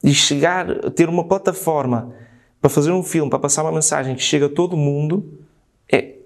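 An ordinary speaking voice from a man, fairly high in pitch, at a fairly quick pace, with ordinary pitch variation. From northern Portugal. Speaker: screenwriter and film director. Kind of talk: casual chat.

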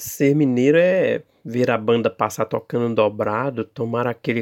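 With an ordinary speaking voice at a medium pitch, a man talks at a fairly slow pace with ordinary pitch variation, the sound dry and close with no echo. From Minas Gerais, Brazil (Bela Vista de Minas). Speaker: writer and poet. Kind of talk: interview with prepared reading.

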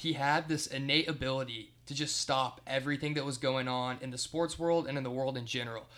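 A man's bright, sharp voice at a fairly quick pace. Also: medium pitch for a man. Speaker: sports podcast co-host. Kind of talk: casual chat. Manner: halting, stuttering.

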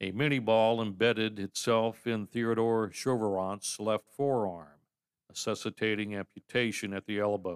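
Against a quiet background comes a natural reading voice. Its intonation is fairly even.

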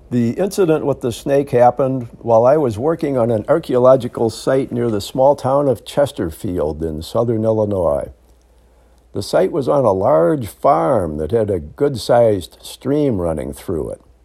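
This man's dark, mellow voice sits at a medium pitch, moving through very wide pitch swings at a moderate pace. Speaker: podcaster. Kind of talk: scripted narration.

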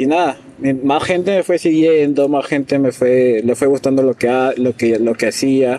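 Medium-pitched male voice at a moderate pace, with ordinary pitch variation, very even loudness, and noticeable background noise. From Peru, Piura. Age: 20s. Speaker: illustrator. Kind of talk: interview.

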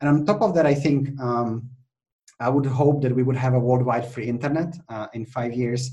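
A somewhat breathy man with a Czech accent, at a moderate pace. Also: medium pitch for a man. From Czech Republic. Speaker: innovation consultant and trainer. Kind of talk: podcast interview.

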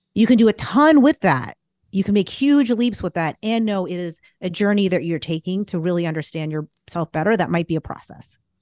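In an ordinary speaking voice, a woman at medium pitch talks at a fairly quick pace with hardly any pauses and lively intonation, the sound dry and close with no echo over a quiet background. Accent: American. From Boston area, US. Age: 40s. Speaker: business strategist and astrologer. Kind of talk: casual interview.

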